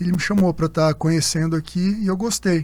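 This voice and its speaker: A man is speaking. He keeps a moderate pace. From Minas Gerais, Brazil (Uberlândia, Triângulo Mineiro). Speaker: orthopedist and sports medicine doctor. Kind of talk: conference panel conversation.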